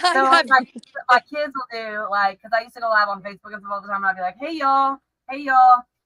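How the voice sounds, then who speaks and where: Speaking at a very fast pace, a woman uses a high pitch with ordinary pitch variation and a slight Texas accent. Her loudness swings widely. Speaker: online streamer. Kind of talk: casual chat. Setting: livestream video call. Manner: fast, halting.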